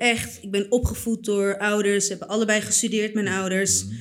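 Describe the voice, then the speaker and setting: A woman's monotone, flat delivery. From Netherlands, Purmerend. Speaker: artist. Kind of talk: casual chat.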